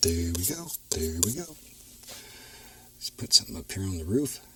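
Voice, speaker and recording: A man with a very deep, low pitch and very wide pitch swings, moderate pace, long and frequent pauses, and noticeable background noise. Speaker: painting instructor. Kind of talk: TV painting tutorial.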